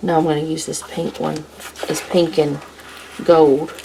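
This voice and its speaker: A woman with a fairly low pitch speaks quietly in a relaxed tone at a moderate pace, with noticeable background noise behind her. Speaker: planner vlogger, homemaker. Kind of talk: casual plan-with-me tutorial. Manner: relaxed, thinking aloud.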